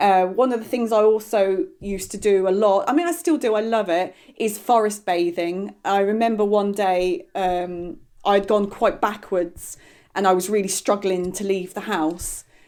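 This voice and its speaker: A woman speaks at a medium pitch and a moderate pace, with ordinary pitch variation. The recording is very clean, with a silent background. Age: young. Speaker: podcast guest sharing mental health experience. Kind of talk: casual interview chat. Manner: animated.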